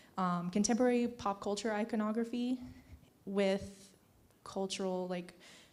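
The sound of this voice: A woman speaks at a moderate pace and medium pitch, her tone slightly mellow. Her pitch varies in an ordinary way.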